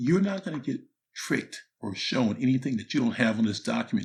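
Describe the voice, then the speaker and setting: Somewhat breathy and medium in pitch, a man speaks with lively intonation. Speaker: motivational speaker and author. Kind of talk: instructional talk. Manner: casual, conversational; whispering a little.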